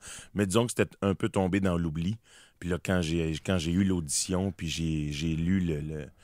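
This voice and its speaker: In a strong Quebec accent, a man with a very deep, low pitch speaks at a fairly slow pace with fairly even intonation, in a very clean recording with a silent background and a dry, close sound with no echo. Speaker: actor. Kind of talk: radio interview. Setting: studio. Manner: hesitant, many repetitions.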